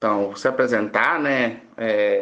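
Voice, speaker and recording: A man is speaking. His pace is moderate. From Brazil, southern Espírito Santo. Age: 30s. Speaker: pharmacy professor. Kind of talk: podcast interview. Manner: halting, many fillers.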